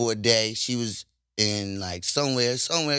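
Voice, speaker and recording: On a very clean recording with a silent background, a man with a bright, sharp tone speaks at a moderate pace with ordinary pitch variation. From Baltimore. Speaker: rapper. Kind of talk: casual interview chat. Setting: studio.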